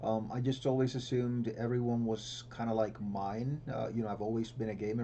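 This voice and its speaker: A man with a Spanish accent speaks in a dark, mellow tone. His pace is moderate and his intonation fairly even. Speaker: symposium host, professor. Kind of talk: panel discussion.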